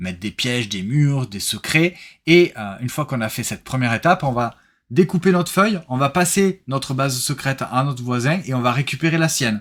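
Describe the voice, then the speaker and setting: A man talks at a fairly quick pace in a medium pitch, recorded very cleanly against a silent background. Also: lively intonation. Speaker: board game reviewer and streamer. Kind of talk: casual live-stream recap chat. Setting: live stream with co-host. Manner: fast.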